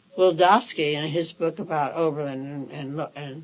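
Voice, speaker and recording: Her pitch is very deep and low. This woman has an American accent and speaks at a moderate pace. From Chicago, Illinois. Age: 80s+. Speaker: civil liberties activist. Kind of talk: oral history interview answer.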